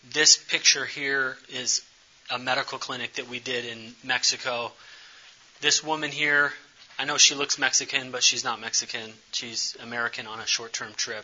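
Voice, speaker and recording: With noticeable noise behind him, a man speaks in fairly even intonation. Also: medium pitch for a man. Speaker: speaker on community development and missions. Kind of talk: presentation with slides. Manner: fast.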